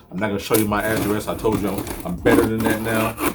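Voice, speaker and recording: Music behind a man's very fast delivery. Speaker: sneaker reviewer. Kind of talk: unboxing review. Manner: animated.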